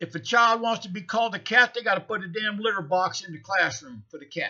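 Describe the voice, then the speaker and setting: A man with an American accent uses a raised, projected voice at a high pitch. His tone is bright and sharp, and his pace fairly quick. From United States. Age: 60s. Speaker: vlogger. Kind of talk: casual monologue. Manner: animated.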